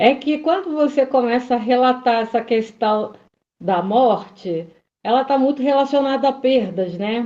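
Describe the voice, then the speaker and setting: A woman's high-pitched voice with a dark, mellow tone, fairly slow pace and ordinary pitch variation. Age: 60s. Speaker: study group participant. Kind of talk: group discussion. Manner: halting.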